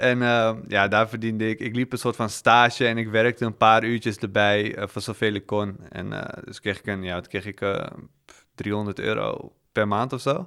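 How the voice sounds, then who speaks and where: On a very clean recording with a silent background, a man with a fairly low pitch talks at a fairly slow pace using fairly even intonation. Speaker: podcast guest who was in debt. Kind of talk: casual interview. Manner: calm.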